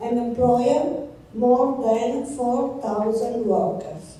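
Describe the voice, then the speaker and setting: A woman with an Italian accent speaks at a high pitch and a very slow pace. Audible room echo and noticeable background noise surround her voice. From Italy, Piedmont (Casale Monferrato). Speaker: physician, palliative care oncologist. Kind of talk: conference talk. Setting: conference stage with audience. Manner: reading prepared text.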